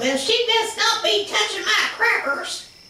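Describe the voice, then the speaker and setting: A put-on character voice at an extremely high pitch, fairly slow in pace, with slight echo. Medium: stage play.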